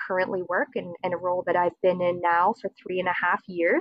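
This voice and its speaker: A woman in a Maritime Canadian accent, medium in pitch and moderate in pace. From Nova Scotia, Canada (Dartmouth). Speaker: government outreach coordinator. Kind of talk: interview. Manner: hesitant, many fillers.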